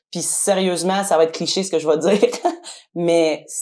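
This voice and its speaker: A woman speaks fairly quickly with a Quebec accent, her pitch fairly low and her intonation fairly even. The recording is very clean, with a silent background. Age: 30s. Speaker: cleaning business owner. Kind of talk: testimony.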